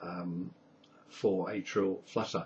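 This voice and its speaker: With an English accent, a man speaks very slowly at a fairly low pitch. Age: 60s. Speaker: patient sharing medical experience. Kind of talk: video diary. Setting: webcam recording at home.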